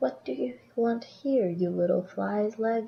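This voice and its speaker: A put-on character voice. The delivery runs at a fairly slow pace. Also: woman, medium pitch for a woman. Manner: scornful.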